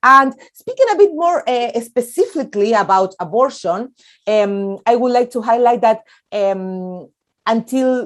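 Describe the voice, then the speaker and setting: Lively intonation marks this fairly slow delivery in a Spanish accent. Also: woman, fairly high pitch for a woman. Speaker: activist. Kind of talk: panel talk. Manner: halting.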